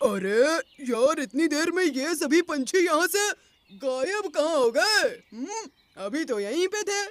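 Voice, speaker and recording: This is a man doing a cartoonish character voice. His pitch is extremely high and his pace is moderate. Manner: rough, menacing.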